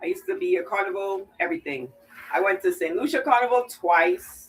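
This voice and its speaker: Her pitch swings very widely from moment to moment. The woman keeps a moderate pace. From Trinidad. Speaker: wreath maker. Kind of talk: live stream tutorial. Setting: live stream.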